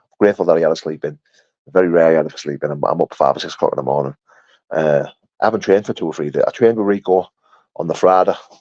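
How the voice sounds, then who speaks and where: Very fast, animated speech in a Yorkshire accent, dry and close with no echo. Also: man. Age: 30s. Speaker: bare-knuckle fighter. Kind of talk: live stream chat reading comments.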